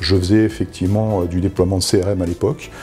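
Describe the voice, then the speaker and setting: Music plays in the background as a man talks at a fairly low pitch. He keeps a fairly quick pace and fairly even intonation. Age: 50s. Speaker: data privacy officer. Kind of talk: testimony. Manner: hesitant, many fillers.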